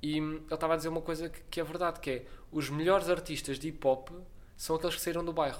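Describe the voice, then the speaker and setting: Here a man speaks at a very fast pace, pitched fairly high. His intonation stays monotone and flat. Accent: European Portuguese. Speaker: podcast host. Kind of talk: casual interview chat. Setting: studio with cheap microphones.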